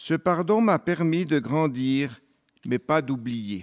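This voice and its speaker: In a dry, close sound with no echo, a man speaks very slowly with lively intonation. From Switzerland, Fribourg. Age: 60s. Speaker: abuse survivor and whistleblower, deacon. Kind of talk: testimony. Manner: formal.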